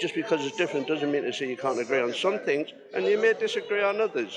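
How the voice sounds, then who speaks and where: A man at a fairly quick pace over music in the background. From northern England. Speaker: protester, building worker. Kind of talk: street interview. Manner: halting.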